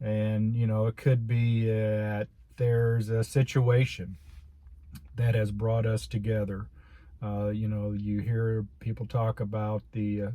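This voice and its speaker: In a somewhat breathy voice with a dark, mellow tone, a man speaks at a medium pitch and a fairly slow pace, his intonation monotone and flat. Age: 60s. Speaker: video blogger sharing life reflections. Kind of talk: casual monologue to camera. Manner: halting, with many repetitions and fillers.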